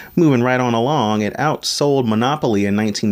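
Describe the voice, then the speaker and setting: In an American accent, a man with a plain, everyday voice talks at a fairly quick pace and medium pitch, with ordinary pitch variation. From Maryland, US. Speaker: podcast host. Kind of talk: solo podcast monologue. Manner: casual, with fillers.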